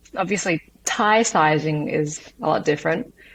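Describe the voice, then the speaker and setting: A woman speaks with an Australian accent. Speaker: entrepreneur and martial artist. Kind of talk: interview. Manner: hesitant, many fillers.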